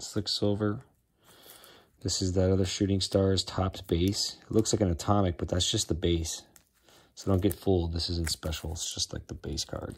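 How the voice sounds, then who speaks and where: A man speaks at a moderate pace in a very deep, low voice, a little breathy. His intonation stays fairly even against a quiet background. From Chicago, US Midwest. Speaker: sports card collector. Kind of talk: casual collection tour video. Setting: at home. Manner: casual, filler-heavy. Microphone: phone near.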